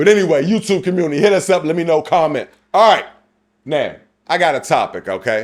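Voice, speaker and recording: Loud and animated, a man talks at a very fast pace in a high pitch with ordinary pitch variation. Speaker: podcast co-host. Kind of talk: casual chat.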